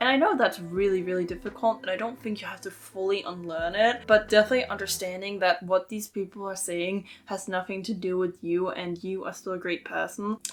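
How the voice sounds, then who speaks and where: A woman at a medium pitch, fairly quick with hardly any pauses, fairly even intonation, big swings in loudness, and noticeable background noise. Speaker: lifestyle vlogger. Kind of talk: casual talk to camera. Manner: loud when happy.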